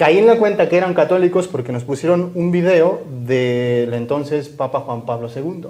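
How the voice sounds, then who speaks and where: A man talks at a moderate pace. His pitch is fairly high, with ordinary variation. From Mexico, Chihuahua. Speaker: Augustinian Recollect friar. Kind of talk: interview chat.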